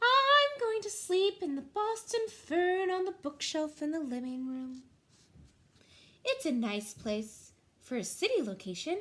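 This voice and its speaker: A soft-spoken woman's put-on character voice, extremely high in pitch, with very wide pitch swings at a fairly slow pace. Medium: read story. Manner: polite, gentle.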